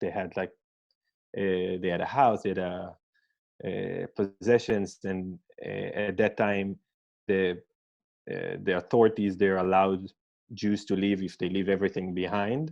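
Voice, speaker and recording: Speaking in an Israeli accent, a man talks at a fairly slow pace with long, frequent pauses, his fairly low voice keeping fairly even intonation. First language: Hebrew. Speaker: scientist. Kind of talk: interview. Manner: halting, many fillers.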